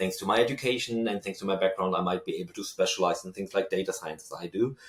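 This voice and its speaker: Noticeable background noise sits under a man speaking at a very fast pace. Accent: German. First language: German. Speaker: researcher and lecturer. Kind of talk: interview.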